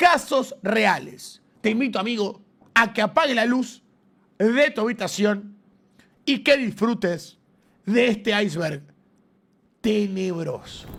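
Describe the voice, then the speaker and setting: Speaking very slowly with long, frequent pauses, a man has a high pitch. His pitch varies in an ordinary way. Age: 20s. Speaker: streamer reacting to videos. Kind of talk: casual reaction commentary.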